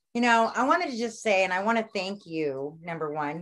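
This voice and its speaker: Lively intonation and a bright, sharp tone at a moderate pace. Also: woman. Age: 50s. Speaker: astrologer and author. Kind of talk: casual chat.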